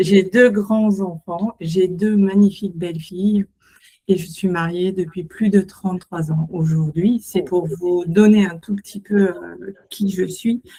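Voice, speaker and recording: A woman speaks very slowly at a medium pitch, somewhat breathy. Her tone is dark and mellow, and her intonation stays fairly even. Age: 60s. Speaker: entrepreneur, co-founder, former physiotherapist. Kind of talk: self-introduction to an audience.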